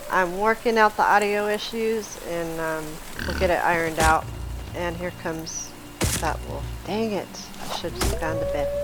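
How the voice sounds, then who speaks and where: Over music in the background, the speaker keeps a moderate pace broken by long, frequent pauses. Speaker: gaming video creator. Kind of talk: gameplay commentary. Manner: casual, conversational.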